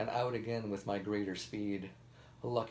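Fairly even intonation runs through this natural voice reading aloud.

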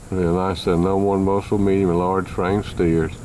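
Very deep, low male voice, moderate in pace and monotone, flat in intonation, with noticeable background noise. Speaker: livestock auctioneer / sale announcer. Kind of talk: cattle sale description, auction-style read.

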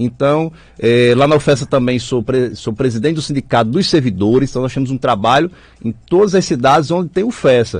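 Against a quiet background, a man speaks at a fairly quick pace and medium pitch with ordinary pitch variation, the sound dry with no echo. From Mossoró, Rio Grande do Norte, Brazil. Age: 20s. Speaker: political candidate. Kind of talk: political radio interview. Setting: radio studio. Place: studio. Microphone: studio mic.

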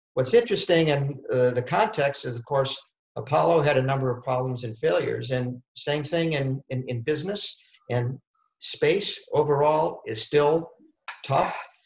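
Against a quiet background with audible room echo, a man speaks in a somewhat breathy voice with ordinary pitch variation. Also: moderate pace. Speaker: space company founder. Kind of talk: panel discussion. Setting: video webinar. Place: home room. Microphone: webcam.

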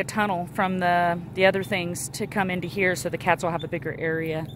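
Hardly pausing, a woman talks at a fairly quick pace with fairly low pitch and fairly even intonation, the sound dry with no echo but with noticeable background noise. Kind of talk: casual vlog chat. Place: open country. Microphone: phone near.

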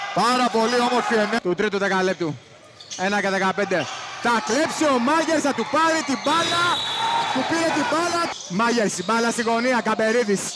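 Through noticeable background noise, a man speaks in a raised, projected voice at an extremely high pitch. His intonation is lively, his pace moderate and his loudness very even. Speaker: basketball commentator. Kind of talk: live sports commentary. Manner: clipped, breathless calls of each possession.

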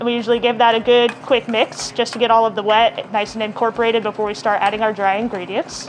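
This woman's intonation stays fairly even. Light background noise sits behind her. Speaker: guest. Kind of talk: cooking demo and interview answers. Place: bar.

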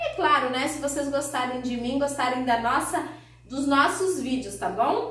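With audible room echo and noticeable background noise, a woman speaks at a moderate pace in a high-pitched voice with a warm tone. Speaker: cake decorator and baking YouTuber. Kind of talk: cooking tutorial. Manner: warm, chatty.

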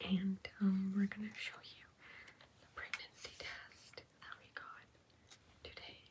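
Whispering at a fairly slow pace, a woman leaves long, frequent pauses, and her loudness swings widely. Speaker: ASMR creator who is pregnant. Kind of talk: ASMR whispered chit chat with husband. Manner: whispered, soft-spoken. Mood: happy, excited. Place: home room.

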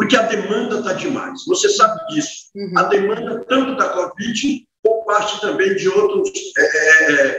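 A man speaks in a raised, projected voice at a fairly slow pace. His pitch swings very widely, and there is audible room echo. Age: 60s. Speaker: city councillor. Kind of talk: interview. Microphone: video call.

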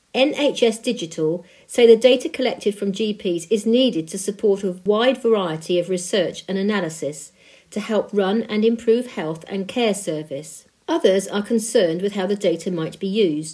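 This woman talks at a moderate pace with a medium pitch. Her tone is dark and mellow, and her intonation is lively. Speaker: volunteer news reader. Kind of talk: reading aloud.

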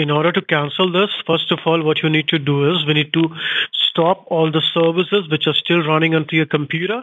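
With an Indian accent, a man speaks at a fairly quick pace and fairly high pitch, keeping fairly even intonation and very even loudness. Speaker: phone scammer. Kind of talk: scam support call. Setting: phone call. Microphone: phone line.

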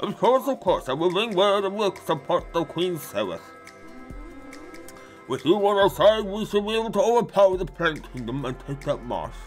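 A man's put-on character voice, high-pitched, over clear background music. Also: moderate pace. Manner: formal, scheming.

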